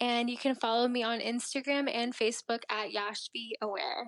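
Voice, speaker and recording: Here a woman speaks in a high voice with a Mid-Atlantic American accent at a moderate pace. Her intonation is monotone and flat, and the sound is dry and close with no echo. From Maryland, US (immigrated from India at age three). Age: 20s. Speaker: beauty pageant titleholder. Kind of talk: interview.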